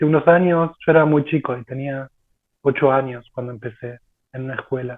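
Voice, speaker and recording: A man speaks at a moderate pace in a Rioplatense accent. His intonation stays fairly even. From Argentina. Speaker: martial arts practitioner. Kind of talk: casual chat.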